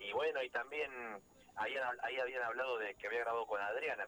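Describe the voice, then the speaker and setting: A man speaks over noticeable background noise. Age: 40s. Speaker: folk musician and music producer. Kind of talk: radio interview.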